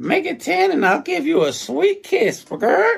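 A man's put-on, croaky character voice, extremely high in pitch, with very wide pitch swings and a moderate pace. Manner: cheeky, flirtatious.

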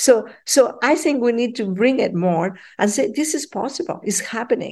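A woman speaks at a fairly slow pace in a Spanish accent. Her intonation is lively, and the background is quiet. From Peru. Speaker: professor. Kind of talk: interview.

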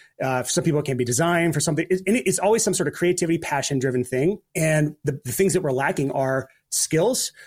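The somewhat breathy voice moves at a fairly quick pace with ordinary pitch variation on a very clean recording with a silent background. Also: man. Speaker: podcast host and freelancing coach. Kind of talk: interview conversation. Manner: fast talker; animated.

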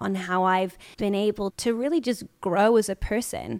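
A woman with a British accent and medium pitch speaks at a fairly slow pace with ordinary pitch variation. The recording is very clean with a silent background and a dry, close sound with no echo. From UK. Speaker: podcast host, actress. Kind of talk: casual chat.

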